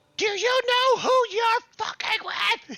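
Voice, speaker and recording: Shouting in a put-on character voice, the speaker sounds squeaky at an extremely high pitch. The pace is fairly slow. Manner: screaming, arguing.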